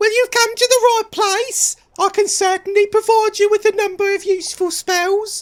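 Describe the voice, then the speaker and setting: A put-on character voice at a moderate pace. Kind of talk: archaic. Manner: pompous.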